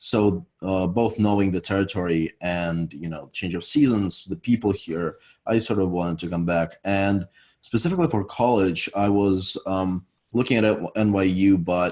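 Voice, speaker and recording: With a European accent, a man talks at a moderate pace in a fairly low pitch with ordinary pitch variation against a quiet background. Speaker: university student. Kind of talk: interview.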